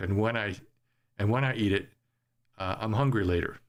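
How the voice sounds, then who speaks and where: A man with a Canadian accent speaks with fairly low pitch and ordinary pitch variation. The recording is very clean, with a silent background. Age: 60s. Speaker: podcast host. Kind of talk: casual monologue podcast. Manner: halting, many fillers.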